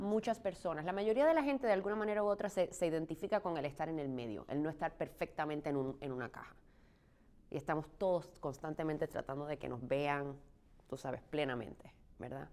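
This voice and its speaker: A woman's very deep, low voice, fairly quick, with lively intonation. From Puerto Rico. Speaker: stage actress. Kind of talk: interview.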